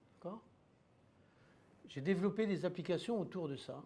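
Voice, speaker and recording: A man's dark, mellow tone at a very slow pace. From France. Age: 70s. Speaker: inventor. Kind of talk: testimony.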